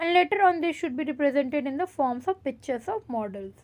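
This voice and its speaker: A woman with an Indian accent speaks in a high pitch with lively intonation on a very clean recording with a silent background. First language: Hindi. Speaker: teacher. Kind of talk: lecture. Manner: code-switches between English and Hindi.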